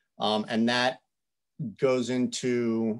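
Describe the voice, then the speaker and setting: A man is heard against a quiet background. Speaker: state environmental staff presenting inventory; public presenter. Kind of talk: technical presentation. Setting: video call. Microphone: video call.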